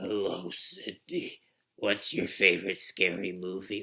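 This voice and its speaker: A man uses a raspy put-on character voice at a fairly low pitch. He talks fairly slowly. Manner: menacing, mysterious.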